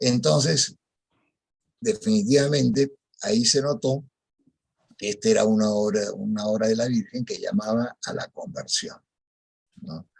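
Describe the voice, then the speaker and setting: A man of medium pitch speaks at a fairly slow pace, his pitch swinging very widely. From Peru. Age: 70s. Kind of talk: testimony. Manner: halting.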